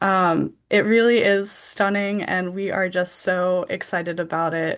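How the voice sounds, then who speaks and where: Her American accent comes with a medium pitch. This woman speaks at a fairly slow pace, her intonation monotone and flat. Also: quiet background. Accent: American accent in Georgian words. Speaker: literary magazine editor. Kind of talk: event presentation. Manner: hesitant, many fillers.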